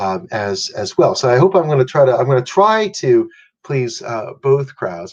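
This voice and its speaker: This man talks at a moderate pace with an American accent and lively intonation. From US. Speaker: law professor and dean. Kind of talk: lecture. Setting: remote video talk. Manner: halting, many fillers and repetitions.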